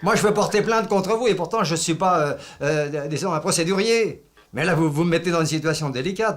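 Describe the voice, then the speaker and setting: Noticeable background noise is present throughout. The pitch varies in an ordinary way. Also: man. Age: 70s. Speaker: retired villager in a neighbour dispute. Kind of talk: heated phone complaint. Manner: angry, loud.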